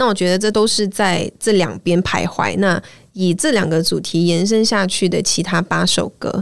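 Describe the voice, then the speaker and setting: A woman speaks at a moderate pace with a medium pitch and vocal fry. Her loudness holds very even, and her pitch varies an ordinary amount. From Malaysia. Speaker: singer-songwriter. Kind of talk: interview. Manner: code-switching with English.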